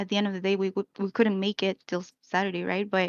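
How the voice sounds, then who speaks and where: A woman with a Spanish accent at a medium pitch, very fast and in a monotone, flat intonation. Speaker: esports team manager. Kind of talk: explanation in a live-stream discussion. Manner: hesitant, many fillers.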